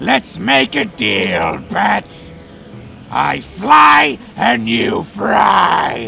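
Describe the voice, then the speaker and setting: A man shouting in a put-on character voice at a medium pitch and a very slow pace, with clear background noise. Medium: dub. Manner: terse, gravelly.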